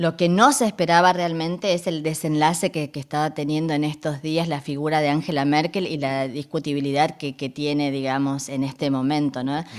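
Her voice is a very deep, low pitch for a woman, at a moderate pace. She speaks with hardly any pauses and fairly even intonation. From northern Argentina (Resistencia, Chaco). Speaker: radio journalist and presenter. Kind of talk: interview.

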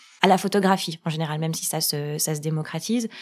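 Speaking at a fairly quick pace with fairly even intonation, a woman with an unremarkable speaking voice is heard on a very clean recording with a silent background. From France. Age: 30s. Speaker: love coach. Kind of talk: casual chat.

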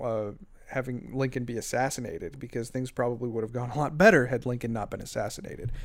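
A man's normal speaking voice, a normal speaking voice of medium pitch with fairly even intonation. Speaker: podcaster.

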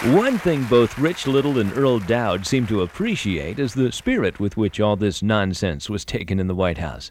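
Here a man has a normal speaking voice at a fairly low pitch. His intonation is lively, and he leaves hardly any pauses. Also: moderate pace. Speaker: narrator. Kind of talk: scripted narration.

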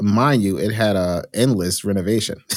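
A man with an American accent and an ordinary speaking voice talks at a moderate pace in a fairly low pitch with ordinary pitch variation, in a very clean recording with a silent background. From New Jersey, Union County. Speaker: hotel management consultant. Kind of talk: interview.

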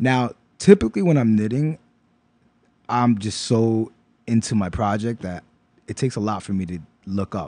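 In a dry, close sound with no echo, a man with a dark, mellow tone and medium pitch speaks at a moderate pace with ordinary pitch variation and long, frequent pauses. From New York, Brooklyn (East New York). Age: 40s. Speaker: knitter and designer. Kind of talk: casual interview.

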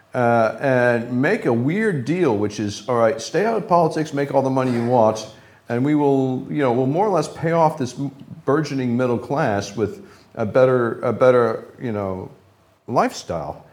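Speaking with an American accent at a moderate pace, the voice has lively intonation, and audible room echo surrounds it. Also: man, medium pitch for a man. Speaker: former secret service agent and chemical weapons expert. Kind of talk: live interview. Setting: stage with audience.

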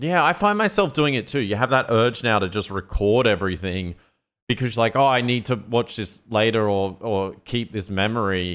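This man has an ordinary speaking voice at medium pitch with ordinary pitch variation. He talks at a moderate pace. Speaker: podcast co-host. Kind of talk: casual chat.

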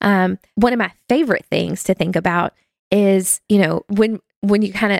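A woman with a North Carolina accent, medium pitch, vocal fry and fairly even intonation, in a dry, close sound with no echo. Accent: Southern US, North Carolina. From US South. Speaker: small group ministry staff member. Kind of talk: casual interview conversation.

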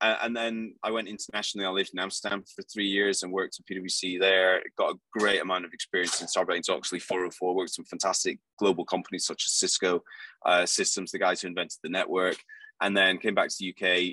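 In a British accent, a man talks very fast, with a dry, close sound and no echo. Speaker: accounting firm leader. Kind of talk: casual chat. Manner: animated.

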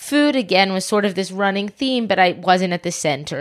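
An unremarkable speaking voice with an American accent comes through in a very clean recording with a silent background. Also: woman. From US South, Atlanta. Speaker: private chef and food activist. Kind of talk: casual interview. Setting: in a home den, on a couch.

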